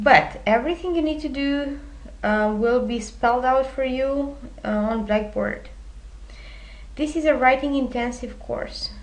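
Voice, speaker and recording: In a Romanian accent, a woman with a high voice speaks at a fairly slow pace, leaving long, frequent pauses, while the room echo is audible. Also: ordinary pitch variation. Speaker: university instructor. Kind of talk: recorded lecture presentation. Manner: many filler hesitations.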